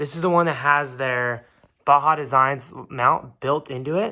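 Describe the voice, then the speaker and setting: The tone is bright and sharp. The pace is moderate, with ordinary pitch variation. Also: man, very clean recording, silent background. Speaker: motorbike video creator. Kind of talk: tutorial. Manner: casual.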